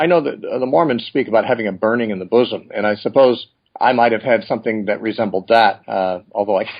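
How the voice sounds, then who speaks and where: Talking at a very fast pace, a man speaks with an American accent. His pitch varies in an ordinary way. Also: medium pitch for a man. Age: 60s. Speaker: Bible teacher. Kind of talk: interview.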